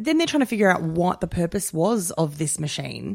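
In an ordinary speaking voice, a woman talks at a moderate pace and fairly low pitch with ordinary pitch variation. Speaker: podcast host. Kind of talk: casual chat.

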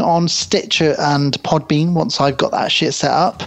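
With a high pitch and a British accent, a man speaks over noticeable background noise. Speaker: podcast co-host. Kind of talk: casual chat. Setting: remote internet call.

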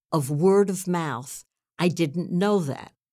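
With an American accent, this woman has a fairly low pitch and ordinary pitch variation on a very clean recording with a silent background. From US Northeast (New York City). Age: 80s+. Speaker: theatre producer and actress. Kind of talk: interview.

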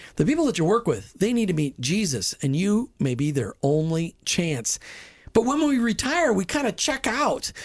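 Against a quiet background, a man speaks at a high pitch in an animated tone. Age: 50s. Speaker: radio host. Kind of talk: talk radio show. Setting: studio.

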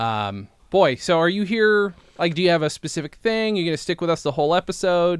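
A man talks at a high pitch and a fairly quick pace. The recording is very clean, with a silent background. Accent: American. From central New York. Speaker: comedy podcast co-host. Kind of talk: casual chat.

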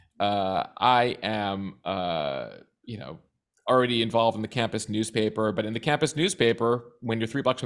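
A man's normal speaking voice, medium in pitch with ordinary pitch variation, with an American accent. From US Midwest (suburban Chicago). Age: 40s. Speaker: news producer and podcast host. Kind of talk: interview, casual chat. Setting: video call.

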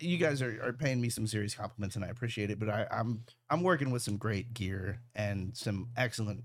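A normal speaking voice with ordinary pitch variation at a fairly quick pace. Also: man. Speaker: camera operator for fight events. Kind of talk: casual chat.

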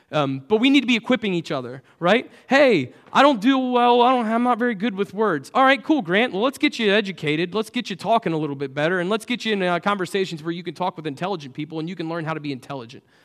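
At a very fast pace with hardly any pauses, a man talks in a high pitch that swings very widely. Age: 30s. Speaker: church staff member preaching. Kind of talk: sermon. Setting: church service with congregation. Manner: casual, many fillers.

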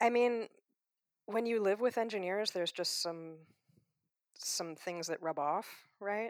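A woman with an American accent at a medium pitch with ordinary variation, fairly slow with long, frequent pauses, on a very clean, dry, close recording with no echo and a silent background. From US Midwest. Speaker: professor. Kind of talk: interview. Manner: hesitant, many fillers.

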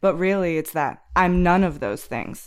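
Fairly low in pitch, a woman speaks with an American accent at a moderate pace. She has a normal speaking voice. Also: very clean recording, silent background. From rural United States. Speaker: academic researcher of Russia. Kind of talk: casual discussion.

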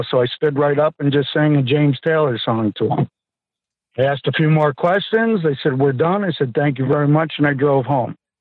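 A man with an American accent talks at a fairly quick pace in a normal speaking voice, fairly high in pitch, with ordinary pitch variation and very even loudness. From US East Coast. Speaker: reality TV contestant. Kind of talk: casual interview.

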